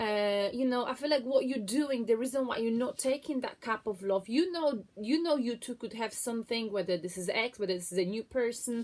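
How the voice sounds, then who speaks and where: A woman speaks at a fairly quick pace with hardly any pauses. Her pitch is fairly high, with ordinary variation. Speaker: tarot reader. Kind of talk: tarot reading monologue. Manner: chatty, filler-heavy.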